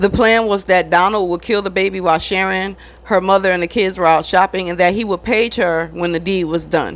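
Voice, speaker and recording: Noticeable background noise behind a medium-pitched woman, ordinary pitch variation, and a fairly quick pace. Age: 30s. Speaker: true crime YouTuber. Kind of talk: casual chat to viewers; true crime narration.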